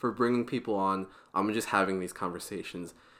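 Against a very clean recording with a silent background, a man speaks with ordinary pitch variation. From US Pacific Northwest, Portland, Oregon. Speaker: student podcast co-host. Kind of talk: casual chat.

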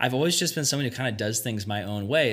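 Ordinary pitch variation in a man's medium-pitched speech. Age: 20s. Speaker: youth pastor. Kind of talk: casual chat. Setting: youth retreat.

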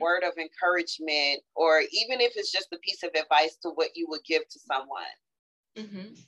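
A woman's medium-pitched voice at a moderate pace, with lively intonation, in a dry, close sound with no echo. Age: 40s. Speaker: podcast host. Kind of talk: casual chat. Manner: animated.

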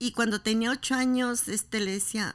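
A woman at a fairly high pitch with monotone, flat intonation and a moderate pace, on a very clean recording with a silent background. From Mexico, Guadalajara. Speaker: mother of the host. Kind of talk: interview.

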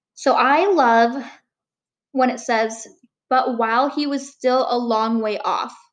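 At a very slow pace with long, frequent pauses, a woman speaks in a high pitch with ordinary pitch variation. Audible room echo is present. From Upper Peninsula of Michigan. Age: 20s. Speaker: college student, podcast co-host. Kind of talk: casual chat.

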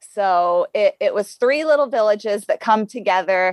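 A woman with a medium-pitched voice speaks at a fairly slow pace in an ordinary speaking voice, the sound dry and close with no echo. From rural Ohio, US Midwest. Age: 40s. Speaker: elite marathon runner. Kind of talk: interview, casual chat.

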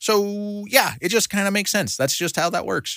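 A man talks at a moderate speed on a very clean recording with a silent background. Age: 30s. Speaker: Bible study teacher. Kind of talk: Bible study lesson. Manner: halting.

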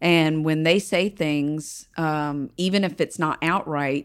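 A very slow woman's voice, very deep and low in pitch, in a Southern US accent with fairly even intonation, on a very clean recording with a silent background. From North Carolina, Kings Mountain. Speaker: congressional candidate, veteran. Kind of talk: interview.

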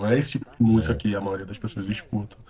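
This man speaks with a Rio de Janeiro accent. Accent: Rio de Janeiro Portuguese (carioca). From Brazil, Rio de Janeiro. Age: 30s. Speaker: rapper and funk musician. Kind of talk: casual interview chat.

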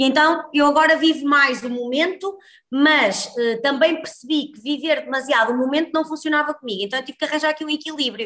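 Raising and projecting her voice, a woman talks at a fairly quick pace with ordinary pitch variation. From northern Portugal, Guimarães. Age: 30s. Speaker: healthy-eating entrepreneur and cooking instructor. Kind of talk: casual interview chat.

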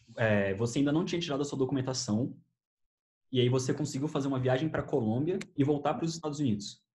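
The speaker goes at a very fast pace, somewhat breathy, with ordinary pitch variation. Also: man, fairly high pitch for a man. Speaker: YouTuber and podcast host. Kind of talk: casual chat.

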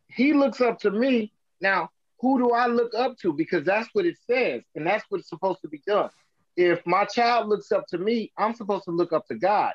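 In a dry, close sound with no echo, a man speaks at a moderate pace, his high pitch showing ordinary variation. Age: 40s. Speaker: songwriter. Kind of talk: casual chat. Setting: video call.

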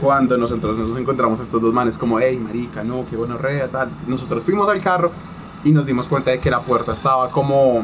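With a medium pitch, a man rattles off his words very fast while noticeable background noise carries on around him. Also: ordinary pitch variation. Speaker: podcast host. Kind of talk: casual chat.

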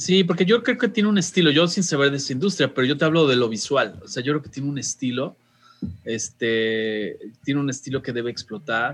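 Here is a man with a Mexican accent and a fairly high pitch. He speaks with lively intonation at a fairly quick pace. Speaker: radio host. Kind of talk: casual chat. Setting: video call.

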